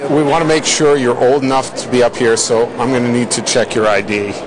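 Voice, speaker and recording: With noticeable background noise around him, a man talks in a medium pitch. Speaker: TV news reporter. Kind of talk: TV news report, scripted voiceover with light humor in the field segment. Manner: polished, brisk, and crisply paced, with a wry tongue-in-cheek tone.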